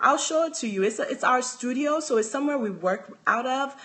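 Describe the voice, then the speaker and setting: A woman with a Nigerian accent, at a moderate pace, with very wide pitch swings. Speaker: handbag designer. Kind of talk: live stream chat. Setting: live video stream from home.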